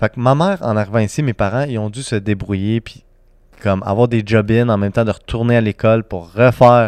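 A plain, everyday voice with fairly even intonation, recorded with a dry, close sound with no echo against a quiet background. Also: man. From Serbia, raised in Quebec. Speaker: entrepreneur, nonprofit founder. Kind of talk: casual chat.

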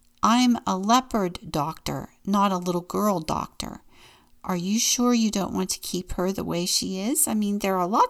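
Natural reading voice, pitch variation ordinary

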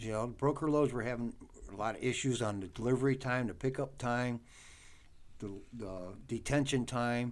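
Using a normal speaking voice, a man with an American accent talks at medium pitch and a moderate pace with fairly even intonation. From US Midwest, Cleveland area, Ohio. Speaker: truck driver and trainer. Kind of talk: casual interview.

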